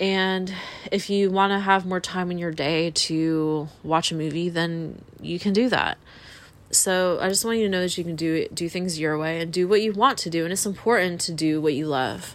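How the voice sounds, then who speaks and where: A woman's normal speaking voice, fairly low in pitch, at a moderate pace with fairly even intonation. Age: 30s. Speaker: podcast host. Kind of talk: casual monologue.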